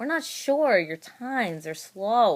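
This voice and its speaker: A put-on character voice from a man, extremely high-pitched, with very wide pitch swings. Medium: read story. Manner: calm, measured.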